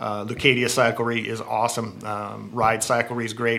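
Noticeable background noise behind a man with an American accent and a medium-pitched voice. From Southern California (San Gabriel Valley area). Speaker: cycling apparel sales director. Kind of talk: casual interview. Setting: in person at company headquarters.

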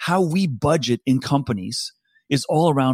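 An ordinary speaking voice with an American accent and ordinary pitch variation. The recording is very clean with a silent background. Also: man. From US East Coast. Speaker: talent advisor. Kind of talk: interview.

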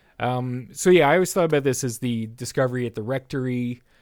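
In an ordinary speaking voice, a man with a Canadian accent speaks at medium pitch and a fairly quick pace. His intonation is fairly even, and the recording is very clean with a silent background. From Canada. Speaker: podcast host. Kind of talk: casual chat; scene description.

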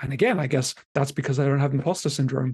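Here a man speaks in a monotone with flat intonation. His voice is fairly high and somewhat breathy. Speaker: bid writer and writing teacher. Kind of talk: casual chat. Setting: video call.

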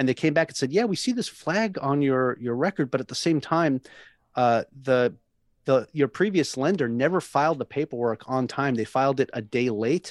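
A man with an American accent and an unremarkable speaking voice talks at a moderate pace. His pitch is fairly high with ordinary pitch variation, and the background is quiet. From Long Island, New York. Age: 30s. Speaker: navy sailor and real estate agent. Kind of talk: interview.

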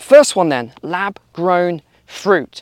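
A man talks in an animated tone. The sound is dry and close, with no echo. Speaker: YouTube commentator and course seller. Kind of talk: news commentary vlog, walking and talking. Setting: outdoors, walking, busy street. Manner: animated, conversational; loud.

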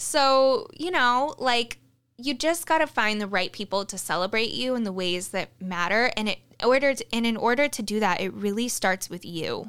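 Recorded very cleanly against a silent background, a woman with a fairly high pitch talks at a moderate pace with lively intonation. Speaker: podcast host and life coach. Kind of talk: casual monologue. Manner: animated, expressive; loud, projecting.

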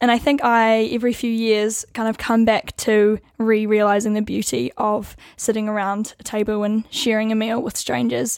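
Fairly high-pitched, a woman talks at a moderate pace with hardly any pauses and fairly even intonation. The recording is very clean with a silent background. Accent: New Zealand. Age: 20s. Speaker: co-host, law student. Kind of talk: casual chat about faith.

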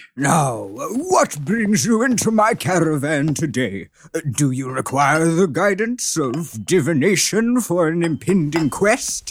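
A man with a high pitch talks at a fairly slow pace, his pitch swinging very widely. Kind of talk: grandiose mystic overacting. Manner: theatrical, rambling, archaic.

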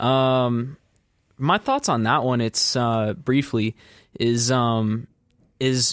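This man's voice is captured on a very clean recording with total silence behind it, sounding close and dry without any echo. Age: 20s. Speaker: youth sports volunteer. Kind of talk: casual chat. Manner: halting.

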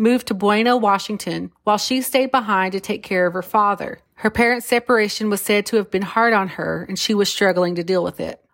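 Speaking in an unremarkable speaking voice, a woman keeps a medium pitch and fairly even intonation. Her pace is moderate. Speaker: podcast host. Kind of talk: true-crime narration, reading case facts. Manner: grave, measured, somber; formal, steady pace, factual.

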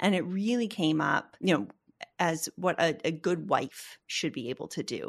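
Speaking at a moderate pace with lively intonation, a woman with an American accent has a fairly low pitch and an ordinary speaking voice over a quiet background. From Boston, US. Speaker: ADHD coach. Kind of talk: casual chat.

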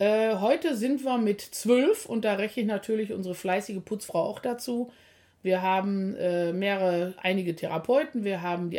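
A woman with a normal speaking voice talks at a medium pitch in a very clean recording with a silent background. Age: 50s. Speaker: physiotherapist and practice owner. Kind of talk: casual podcast chat.

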